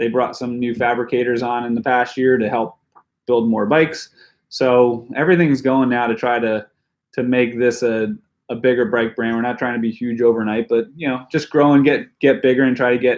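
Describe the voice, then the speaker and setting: Speaking at a moderate pace, a man uses an unremarkable speaking voice of medium pitch with fairly even intonation. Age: 40s. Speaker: pro mountain biker. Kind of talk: live stream Q&A chat. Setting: home basement. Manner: casual, filler-heavy.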